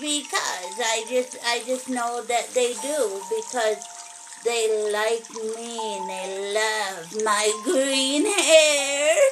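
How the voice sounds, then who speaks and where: A cartoonish character voice speaks very slowly over clear background noise. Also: woman, fairly high pitch for a woman. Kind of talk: children's puppet show. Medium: puppet show. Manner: chatty, friendly.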